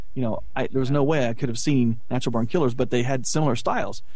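This man talks at a very fast pace. His pitch is medium. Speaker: film producer and internet radio station owner. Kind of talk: casual chat.

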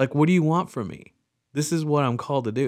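On a very clean recording with a silent background, a man talks at a fairly quick pace in a normal speaking voice, medium in pitch with ordinary pitch variation. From Texas, small farming town. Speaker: father, guest. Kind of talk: casual interview chat. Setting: in-person recording in same room.

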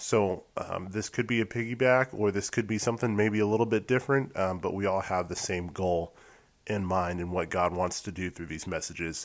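In an American accent, a man talks at a fairly quick pace with a fairly low pitch and ordinary pitch variation. The recording is very clean, with a silent background. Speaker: podcast co-host and editor. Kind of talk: devotional message. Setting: solo recorded voiceover.

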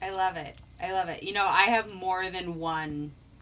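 The woman has an ordinary speaking voice with a medium pitch. She speaks at a fairly slow pace. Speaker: tarot podcast co-host. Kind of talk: casual chat.

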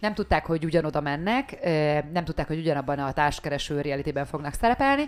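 A woman's fairly low voice, fairly quick and with lively intonation. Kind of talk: casual chat. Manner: soft-spoken.

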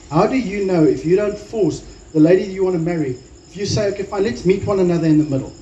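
Here a man speaks very fast at a high pitch, with ordinary pitch variation. His tone is dark and mellow, and room echo is audible. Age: 40s. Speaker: pastor. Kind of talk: sermon.

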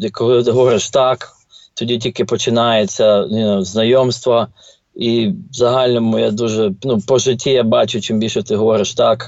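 In a normal speaking voice, a man speaks at a moderate pace and medium pitch, with fairly even intonation and very even loudness. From Ukraine, Ternopil. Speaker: finance professional and real estate investor. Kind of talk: casual interview.

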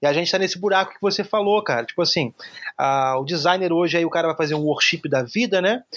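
A man's high-pitched voice at a fairly quick pace. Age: 30s. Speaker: graphic designer. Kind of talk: casual interview.

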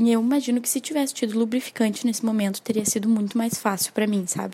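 Her voice is a plain, everyday voice, a woman's at fairly high pitch with fairly even intonation. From Porto Alegre, southern Brazil. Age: 20s. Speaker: listener giving testimony. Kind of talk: recorded voice message testimony.

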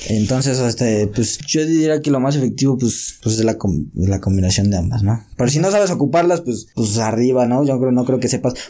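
A man's dark, mellow tone sits at a medium pitch as he talks at a fairly quick pace with hardly any pauses, lively intonation and very even loudness. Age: 20s. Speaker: boxing coach. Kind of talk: casual chat.

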